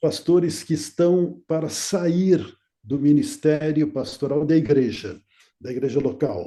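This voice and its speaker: Very slowly, a man speaks in a fairly high pitch with a dark, mellow tone. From Brazil, São Paulo city. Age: 80s+. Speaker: retired pastor. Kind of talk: interview. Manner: halting.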